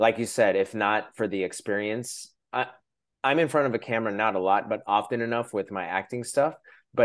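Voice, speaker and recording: Against a quiet background, a man with a normal speaking voice talks at a fairly quick pace with ordinary pitch variation. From Shoreline, Washington, US. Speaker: podcast host. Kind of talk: casual interview chat.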